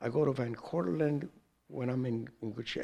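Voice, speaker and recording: In a plain, everyday voice with an American accent, the speaker keeps a moderate pace and ordinary pitch variation. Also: man. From New York, the Bronx. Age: 60s. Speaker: Zen teacher. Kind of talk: dharma talk.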